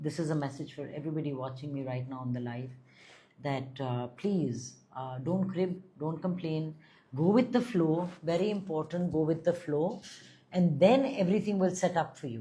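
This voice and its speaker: Her very deep, low pitch comes with lively intonation as the woman speaks, somewhat breathy, at a moderate pace. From India, Delhi. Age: 50s. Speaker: spiritual guide and astrologer. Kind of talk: live stream chat with viewers.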